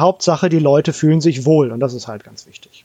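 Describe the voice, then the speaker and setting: A man's fairly high, a normal speaking voice at a fairly quick pace, with ordinary pitch variation. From Hamburg, northern Germany. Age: 40s. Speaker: game designer. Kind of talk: casual chat.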